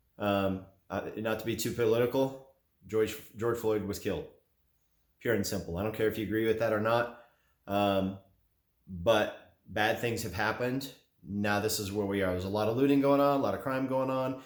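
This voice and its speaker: A man talks at a moderate pace with a fairly low pitch and fairly even intonation. Audible room echo surrounds his voice. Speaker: gun and gear YouTuber. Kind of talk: opinion monologue to camera. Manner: monotone.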